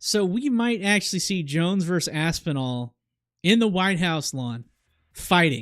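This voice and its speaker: The voice is animated, with lively intonation and a fairly slow pace, in a very clean recording with a silent background. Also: man, high pitch for a man. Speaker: crypto market analyst streamer. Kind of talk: live stream market commentary.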